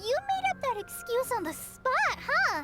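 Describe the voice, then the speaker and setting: Clear music plays in the background. The speaker uses a put-on character voice at a fairly slow pace. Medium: video game. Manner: nervous, hesitant.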